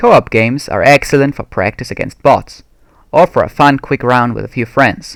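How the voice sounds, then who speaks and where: A man speaks at a moderate pace with a slight non-native accent. The sound is dry and close, with no echo. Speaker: video game tutorial maker. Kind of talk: tutorial. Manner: formal.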